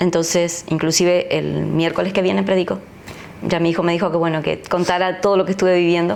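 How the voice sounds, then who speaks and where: A woman with an Argentine accent speaks at a fairly quick pace in a fairly low, monotone voice at very even loudness. Background noise is noticeable. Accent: Argentine Spanish (Rioplatense). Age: 60s. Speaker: pastor. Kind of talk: interview testimony.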